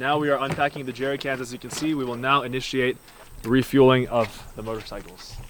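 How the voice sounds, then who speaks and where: Noticeable background noise fills the recording. Through it, a man speaks at medium pitch. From Canada. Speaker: motorcycle travel vlogger. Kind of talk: vlog narration. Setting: outdoors.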